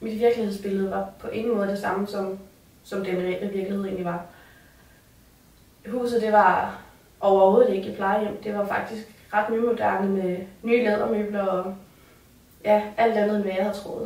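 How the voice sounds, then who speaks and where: Amid noticeable background noise and audible room echo, a woman speaks at a moderate pace with long, frequent pauses. Her medium pitch stays in a monotone, flat intonation. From Copenhagen area, Denmark. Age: 20s. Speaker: resident of a care facility. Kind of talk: personal testimony. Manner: hesitant, with fillers.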